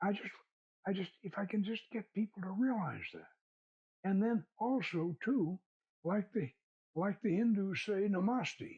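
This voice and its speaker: At a fairly slow pace with long, frequent pauses, a man with an American accent speaks at a high pitch with ordinary pitch variation, in a dry, close sound with no echo. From US South. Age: 80s+. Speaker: occult author and filmmaker. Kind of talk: interview conversation. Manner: halting, many repetitions.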